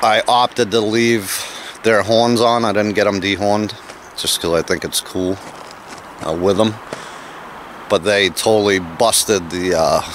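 A man talks at a moderate pace with long, frequent pauses, his fairly low voice keeping a fairly even intonation. The sound is dry with no echo, over light background noise. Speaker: homesteader vlogger. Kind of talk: casual vlog chat. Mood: relaxed, amused. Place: open country. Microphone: phone near.

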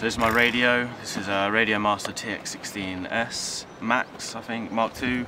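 A fairly low-pitched man with fairly even intonation, heard through audible room echo and noticeable background noise. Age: 20s. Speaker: drone pilot vlogger. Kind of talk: vlog voiceover narration.

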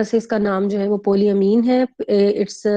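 A woman's voice with a dark, mellow tone and monotone, flat intonation. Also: quiet background. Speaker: teacher. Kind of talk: lecture. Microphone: video call.

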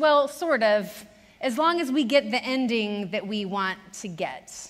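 Her tone is bright and sharp as a woman speaks at a fairly slow pace. The background stays quiet. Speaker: preacher. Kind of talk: sermon. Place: church.

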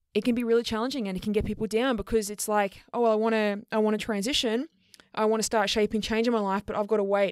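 A woman speaks very fast with an Australian accent. Her pitch is fairly high, and the recording is very clean with a silent background. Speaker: podcast host and queer fitness coach. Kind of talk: educational solo podcast talk.

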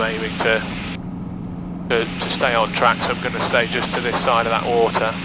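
A man talks at a moderate pace. The sound is dry with no echo, over loud background noise. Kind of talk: in-flight commentary. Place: plane. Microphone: headset.

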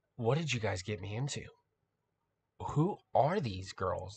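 With a quiet background, a man of medium pitch talks at a moderate pace, somewhat breathy and with lively intonation. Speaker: music reaction youtuber. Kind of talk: reaction video commentary. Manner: animated.

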